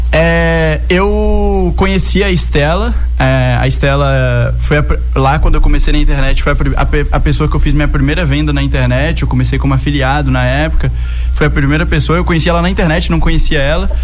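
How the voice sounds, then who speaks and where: A man's very deep, low voice in a monotone, flat delivery, fairly quick and very even in loudness, with audible room echo and music in the background. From interior of Bahia, Brazil. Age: 20s. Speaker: tech entrepreneur. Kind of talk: radio interview.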